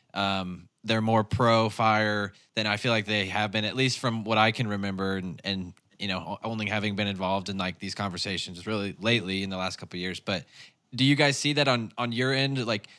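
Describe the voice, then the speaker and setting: On a very clean recording with a silent background, a fairly low-pitched man with an American accent talks at a fairly quick pace, his tone bright and sharp and his intonation fairly even. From Arkansas (Northwest, Ozarks). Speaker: podcast host. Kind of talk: interview conversation. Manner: casual.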